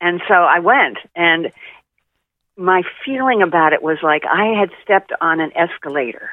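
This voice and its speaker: Speaking in an American accent at a moderate pace, a woman with a fairly low pitch has an unremarkable speaking voice. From Oklahoma, US. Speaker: spiritual advisor. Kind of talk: interview.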